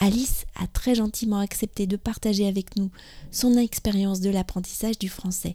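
A somewhat breathy, dark, mellow tone with fairly even intonation at a moderate pace. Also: woman. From France. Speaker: podcast host, French teacher. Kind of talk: scripted narration. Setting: outdoors in a park.

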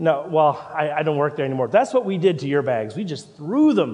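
There is noticeable background noise as a man with a Canadian accent speaks at a fairly high pitch. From Canada. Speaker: pastor. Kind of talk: sermon. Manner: halting.

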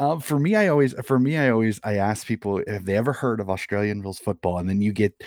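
A man with a Midwestern accent talks with ordinary pitch variation in a dry, close sound with no echo. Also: very clean recording, silent background. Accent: American Midwest. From US Midwest, Des Moines, Iowa. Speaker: amateur footy coach and sports podcaster. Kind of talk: casual interview.

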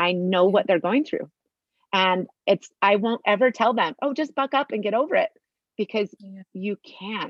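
A woman speaks with a fairly high pitch at a moderate pace. Her intonation is lively. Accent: Utah. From Utah. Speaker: mother sharing life story. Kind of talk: testimony.

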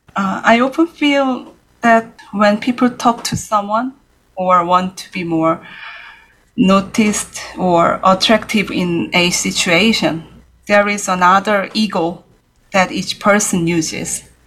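A woman talks in a Korean accent at a medium pitch. She goes at a very slow pace with ordinary pitch variation. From South Korea, Seoul. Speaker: jazz pianist and composer. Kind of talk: interview.

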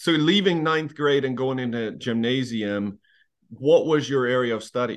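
In an ordinary speaking voice, a man talks at a medium pitch and moderate pace with ordinary pitch variation. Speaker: podcast host. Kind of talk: casual interview conversation.

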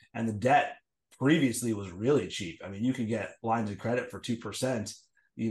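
The speaker talks at a moderate pace with ordinary pitch variation over a quiet background. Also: man. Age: 40s. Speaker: serial entrepreneur and Amazon seller. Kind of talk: interview. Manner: halting, many fillers.

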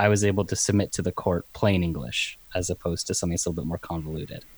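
A man rattles along at a very fast pace with hardly any pauses, his pitch very deep and low with ordinary variation. The recording is dry and close, with no echo. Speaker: articling law graduate, podcaster. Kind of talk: casual chat. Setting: video call.

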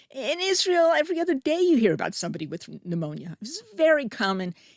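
A woman speaks with a New Jersey accent. The sound is dry and close with no echo, in a very clean recording with a silent background. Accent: American (New Jersey). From US, New Jersey. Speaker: public health professor. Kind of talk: interview. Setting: studio.

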